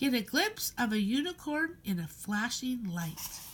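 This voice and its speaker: A woman puts on a creaky character voice. Her pitch swings very widely. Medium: read story. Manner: pedantic, rambling.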